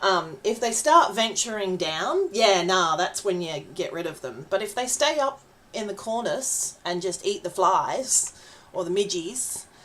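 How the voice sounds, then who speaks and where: A woman speaks at a medium pitch with an Australian accent, over noticeable background noise. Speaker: vtuber streamer. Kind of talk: casual gaming livestream chat. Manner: chatty, hesitant with fillers.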